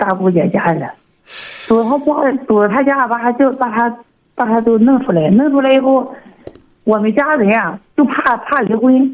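Lively in intonation, a woman speaks at a fairly high pitch and a moderate pace. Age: 40s. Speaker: radio call-in caller, noodle shop owner. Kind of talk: phone-in advice call. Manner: halting.

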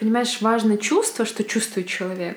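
A woman is speaking. Her pitch is fairly high. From Belarus, Bykhov near Mogilev. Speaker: photographer. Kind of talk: interview conversation.

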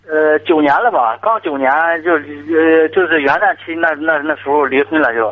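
A man speaks at a moderate pace in a fairly high voice. Noticeable background noise is present. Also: ordinary pitch variation. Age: 30s. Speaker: caller, factory worker. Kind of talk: phone call-in advice. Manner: halting.

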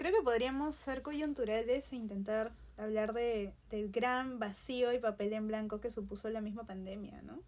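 A woman speaks fairly slowly at a fairly high pitch, her intonation fairly even. Her loudness swings widely. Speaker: artist, printmaker. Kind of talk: casual chat.

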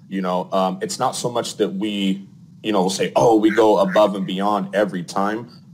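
An American-accented man with an unremarkable speaking voice, fairly low pitch, ordinary pitch variation and a moderate pace. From Arizona. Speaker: plumbing company owner. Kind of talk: casual interview.

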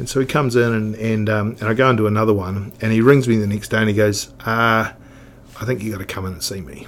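In a New Zealand accent, a man talks at a very fast pace with a fairly low pitch and fairly even intonation. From New Zealand, Otago (Oamaru). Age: 50s. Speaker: snowboard industry veteran. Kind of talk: casual interview chat. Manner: halting, repetitive.

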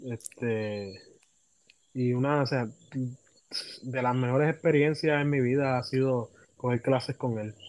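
The intonation stays fairly even. Long, frequent pauses break up the speech. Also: man, medium pitch for a man, fairly slow pace. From Puerto Rico, Humacao. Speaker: music education student and trumpeter. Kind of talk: casual interview.

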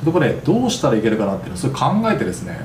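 There is noticeable background noise and audible room echo. Through it, a man talks in a fairly high pitch. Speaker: podcast host. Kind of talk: solo podcast monologue. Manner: polite formal.

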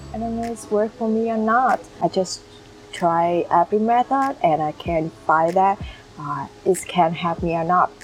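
With a Vietnamese accent, a woman speaks fairly slowly at a medium pitch with ordinary pitch variation, over noticeable background noise. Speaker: YouTuber. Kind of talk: vlog monologue. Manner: halting.

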